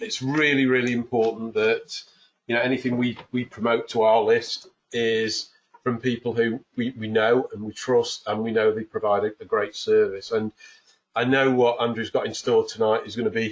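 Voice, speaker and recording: A man with a northern English accent at a moderate pace. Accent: English accent (north of England). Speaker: webinar host. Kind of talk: webinar introduction. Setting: home office, online webinar.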